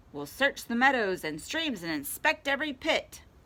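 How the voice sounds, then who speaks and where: Moderate pacing and high pitch in a woman's put-on character voice. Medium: read story. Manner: energetic.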